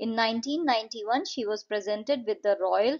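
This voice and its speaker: A woman with a normal speaking voice, fairly high in pitch with ordinary pitch variation, against a quiet background. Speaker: English teacher. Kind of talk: lecture.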